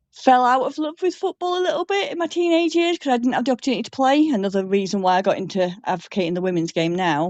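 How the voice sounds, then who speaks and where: At a very fast pace with hardly any pauses, a woman speaks high in pitch, her voice swinging very widely in pitch. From northern England (Manchester, Lancashire). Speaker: football supporters club member and grassroots coach. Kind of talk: casual interview chat.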